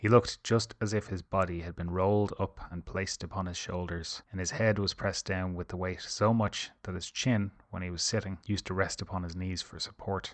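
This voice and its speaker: Speaking in an Irish accent at a very deep, low pitch, a man moves at a fairly quick pace with hardly any pauses and fairly even intonation over a quiet background. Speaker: storyteller. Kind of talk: bedtime fairy tale reading. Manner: soft-spoken, calm.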